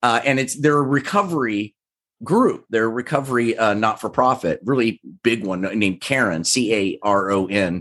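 At a moderate pace and medium pitch, a man with an American accent talks with ordinary pitch variation against a quiet background. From Kansas, US Midwest. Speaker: actor and entrepreneur. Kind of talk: casual interview. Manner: halting, many fillers and restarts.

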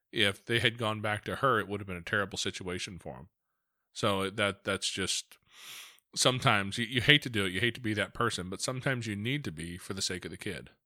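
A man speaks at a very fast pace in a fairly low pitch with a bright, sharp tone, his loudness swinging widely while his pitch varies in an ordinary way. The recording is very clean, with a silent background. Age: 40s. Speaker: podcast host. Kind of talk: casual interview.

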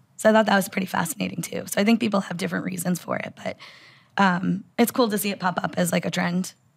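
Vocal fry runs through a woman's medium-pitched voice. She talks very fast with fairly even intonation. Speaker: bitcoin mining analyst. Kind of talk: casual interview conversation. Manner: frequent filler words.

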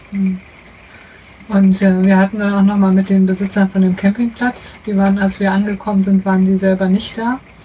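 This woman's voice sits at a medium pitch and moves at a moderate pace, her intonation monotone and flat. Her loudness is very even, though there is noticeable background noise. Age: 30s. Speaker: mechanical engineer, traveller. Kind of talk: casual interview. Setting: in a motorhome.

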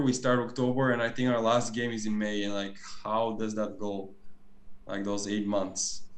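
The speech moves at a moderate pace. Audible echo fills the room. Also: man. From Bulgaria. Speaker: professional volleyball player. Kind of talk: casual chat.

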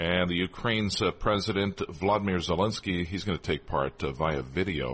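With vocal fry at a moderate pace, a man speaks at a very deep, low pitch. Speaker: radio host. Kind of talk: live radio news anchoring. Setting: studio. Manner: formal.

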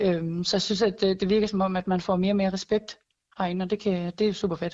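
The delivery is fairly quick and monotone, with flat intonation throughout. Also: woman. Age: 20s. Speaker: air force weapons technician. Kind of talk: interview. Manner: hesitant, repeats words.

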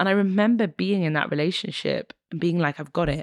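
A woman's vocal fry at a fairly quick pace, dry and close with no echo, on a very clean recording with a silent background. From northern England, Newcastle upon Tyne. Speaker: radio presenter, activist and spoken word artist. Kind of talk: casual chat. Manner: animated.

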